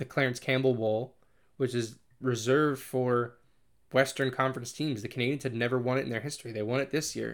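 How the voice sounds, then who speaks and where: This is a man with a New England accent. His voice sits at a medium pitch. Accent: American (New England). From Connecticut, US. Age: 20s. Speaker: podcast host and hockey blogger. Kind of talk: solo monologue podcast. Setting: in front of a microphone, solo recording. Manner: hesitant, many fillers and restarts.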